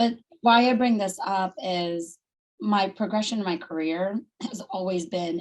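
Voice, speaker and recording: A normal speaking voice comes through at a moderate pace. Its pitch varies in an ordinary way. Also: woman. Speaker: Salesforce consultant and company founder. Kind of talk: presentation on video call.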